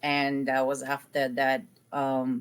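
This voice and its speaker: This recording is very clean, and the background is silent. The woman's pitch sits very deep and low. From Poland. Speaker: program alumna, legal assistant. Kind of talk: interview testimony.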